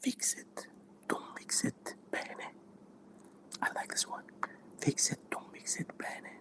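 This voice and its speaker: Whispered words come at a very slow pace, with noticeable noise in the background. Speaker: language student. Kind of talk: ASMR study session talk. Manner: soft-spoken.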